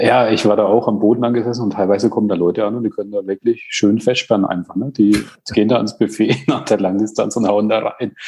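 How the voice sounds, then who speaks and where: A man at a very fast pace, fairly low in pitch, with a dark, mellow tone and fairly even intonation. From Bamberg, Franconia, Germany. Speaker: amateur triathlete. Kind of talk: interview.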